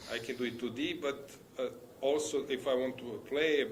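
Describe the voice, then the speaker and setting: A man is heard with audible room echo around his voice. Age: 60s. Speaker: chess commentator and player. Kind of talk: live commentary. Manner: halting.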